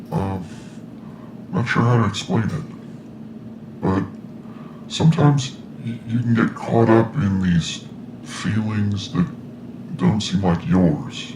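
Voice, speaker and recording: Over clear background noise, a man at a medium pitch uses a put-on character voice, moving at a fairly slow pace with long, frequent pauses. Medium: audio drama. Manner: hesitant, folksy, with filler sounds.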